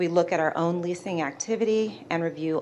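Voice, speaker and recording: A woman's fairly low voice at a moderate pace, a normal speaking voice. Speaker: port real estate manager. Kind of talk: staff presentation to a commission.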